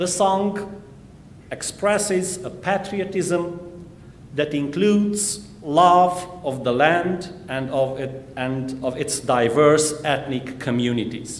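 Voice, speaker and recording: Very slow speech from a man with a fairly high pitch and ordinary pitch variation. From Transylvania, Romania (Hungarian Székely). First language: Hungarian. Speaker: minister and church history professor. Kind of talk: sermon. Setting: church. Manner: formal.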